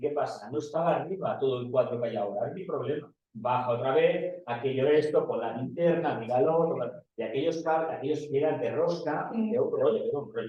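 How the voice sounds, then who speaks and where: Fairly quick speech with hardly any pauses and ordinary pitch variation. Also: man. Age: 60s. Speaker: audience member. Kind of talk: personal anecdote in Q&A. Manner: halting.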